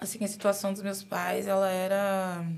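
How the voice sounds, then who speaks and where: Against audible room echo, a woman speaks at a medium pitch with monotone, flat intonation. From São Paulo, Brazil (Guaianases, east side). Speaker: UX/UI designer. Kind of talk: casual interview. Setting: studio.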